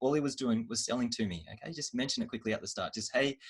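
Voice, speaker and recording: A man speaks at medium pitch with an Australian accent. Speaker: marketing trainer. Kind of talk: online training workshop. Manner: fast.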